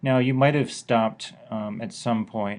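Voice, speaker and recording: Over a quiet background, a man with a plain, everyday voice speaks at a fairly slow pace with fairly even intonation. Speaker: math teacher. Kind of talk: lecture.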